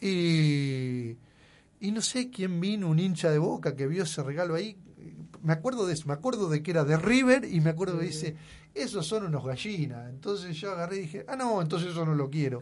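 Here a man talks at a fairly quick pace. His high-pitched voice has lively intonation. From Argentina, Buenos Aires province countryside. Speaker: local sports official. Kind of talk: radio interview. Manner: halting, with frequent repetitions.

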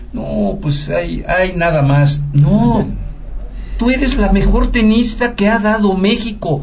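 A man's high-pitched voice at a very slow pace, with lively intonation, very even loudness, audible room echo and noticeable background noise. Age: old. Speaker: radio network director, guest interviewer. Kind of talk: interview. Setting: studio.

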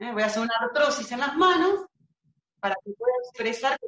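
A woman's fairly high voice with lively intonation and a provincial Argentine accent. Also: dry, close sound with no echo. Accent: provincial Argentine, drops S sounds. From Argentina, Buenos Aires province. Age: 40s. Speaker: body-reading therapist and doula. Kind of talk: casual interview chat.

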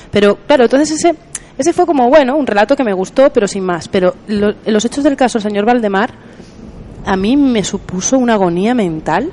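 A woman's lively, varied intonation comes through over noticeable background noise. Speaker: podcast host. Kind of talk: casual chat. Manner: hesitant.

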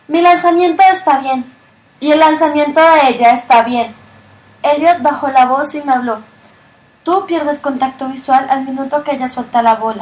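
High female voice at a moderate pace with ordinary pitch variation. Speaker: audiobook narrator. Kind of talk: literary audiobook reading. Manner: even narrator's pace, shifting gently into dialogue lines.

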